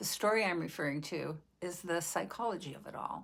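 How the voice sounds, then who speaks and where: A woman's fairly low voice with vocal fry, in a very clean recording with a silent background. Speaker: vlogger. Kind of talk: personal reflection. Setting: video recording.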